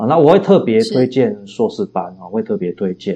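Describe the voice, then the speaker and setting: This man talks at a fairly quick pace with lively intonation. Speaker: philosophy professor and novelist. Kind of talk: interview. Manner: frequent hesitation fillers.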